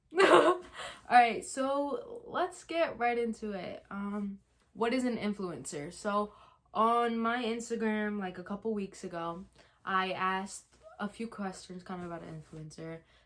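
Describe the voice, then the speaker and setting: Her loudness swings widely, and her intonation is lively. The woman has a medium pitch and a fairly slow pace. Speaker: YouTuber. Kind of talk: casual chat. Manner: hesitant, many ums.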